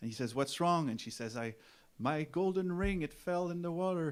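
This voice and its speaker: Here is a man speaking. He has a Quebec accent. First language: French. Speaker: folk musician. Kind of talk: stage banter. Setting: stage with audience. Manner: halting.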